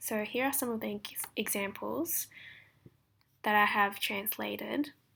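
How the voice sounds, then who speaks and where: Bright and sharp in tone, the voice moves at a fairly slow pace. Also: woman. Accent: Australian. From Australia. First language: Japanese. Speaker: translation student. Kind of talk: recorded presentation.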